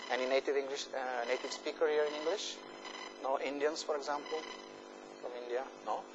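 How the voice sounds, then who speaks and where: Through noticeable background noise and audible room echo, a fairly high-pitched man talks at a fairly quick pace with fairly even intonation, stopping for long, frequent pauses. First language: Italian. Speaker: university professor. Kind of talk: lecture. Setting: lecture hall with students. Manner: hesitant, many fillers.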